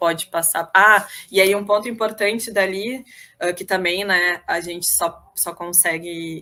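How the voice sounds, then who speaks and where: On a very clean recording with a silent background, a woman with a medium pitch and a bright, sharp tone speaks at a fairly slow pace with fairly even intonation. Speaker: state health official. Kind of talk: panel presentation.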